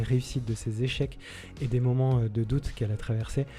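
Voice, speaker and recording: Over music in the background, a man with a medium pitch talks at a fairly quick pace in a monotone, flat delivery. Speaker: podcast host. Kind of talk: interview; podcast intro. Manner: hesitant, many fillers.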